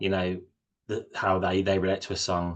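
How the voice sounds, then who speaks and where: A man talks with a normal speaking voice at a moderate pace. His pitch is fairly low. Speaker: chat show host. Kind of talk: casual interview host talk.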